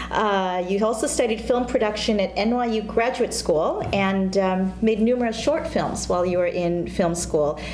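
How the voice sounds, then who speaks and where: A woman at medium pitch and a fairly slow pace, very even in loudness with hardly any pauses, over light background noise and audible room echo. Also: ordinary pitch variation. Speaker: talk show co-host. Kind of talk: casual interview. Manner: animated, laughs often. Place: studio. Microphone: lapel.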